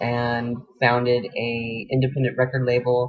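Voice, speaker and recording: The speaker is a man with an unremarkable speaking voice. He talks at medium pitch and a moderate pace. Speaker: radio host. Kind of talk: personal bio talk.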